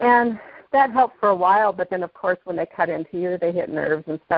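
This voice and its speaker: A woman's unremarkable speaking voice at a medium pitch. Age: 50s. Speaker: product user sharing testimony. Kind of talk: testimony.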